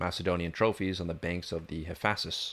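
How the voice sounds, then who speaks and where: A quiet man at a fairly quick pace. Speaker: YouTuber reading a history book aloud. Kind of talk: reading aloud.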